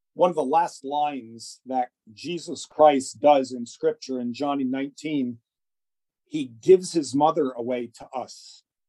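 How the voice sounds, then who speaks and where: With an American accent, a man speaks at a very slow pace in a fairly high pitch, his tone dark and mellow and his pitch variation ordinary. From US Northeast, northern New Jersey. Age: 60s. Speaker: gynecologist. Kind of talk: interview. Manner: halting with many fillers.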